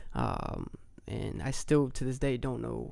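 The speaker has an American accent. Audible room echo is present. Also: man. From Brownsburg, Indiana. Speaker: entrepreneur. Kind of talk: casual chat. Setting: studio.

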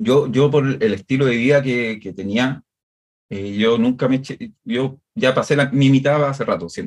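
A man with a Chilean accent, medium pitch, moderate pace and ordinary pitch variation. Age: 40s. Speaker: music producer. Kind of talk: interview.

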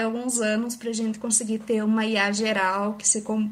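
A somewhat breathy woman's voice with monotone, flat intonation, in a very clean recording with a silent background. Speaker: AI researcher, PhD student. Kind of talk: casual chat.

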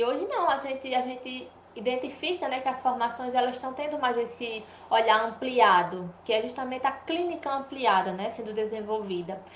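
A woman's high-pitched voice with ordinary pitch variation, at a moderate pace, with audible room echo and noticeable background noise. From Brazil, Paraíba (Cajazeiras). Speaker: nurse and public health researcher. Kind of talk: interview, explanatory.

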